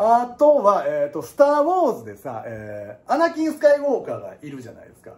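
A man with a Kansai accent talks at a very fast pace with hardly any pauses. His animated tone comes with big swings in loudness. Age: 30s. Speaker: piano teacher. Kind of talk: casual lecture. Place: classroom. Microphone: phone near.

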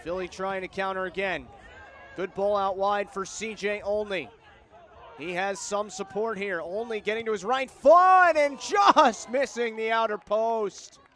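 Noticeable background noise sits behind a man speaking at a fairly slow pace. His pitch is high, with ordinary variation. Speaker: live match commentator. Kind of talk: live sports commentary, play-by-play call of a soccer match. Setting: stadium broadcast booth.

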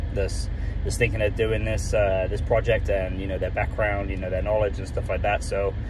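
A man is heard in a dry recording with no echo and noticeable background noise. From United Kingdom. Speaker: food truck planner, former teacher and retail manager. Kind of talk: casual talk to camera. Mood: earnest, slightly nervous. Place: car. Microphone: phone near.

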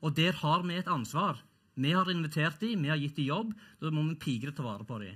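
A man's fairly high, bright, sharp voice at a fairly quick pace, with lively intonation, against a quiet background. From Norway. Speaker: professor; panel debater. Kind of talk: panel debate. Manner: halting, repeats words. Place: stage. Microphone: headset.

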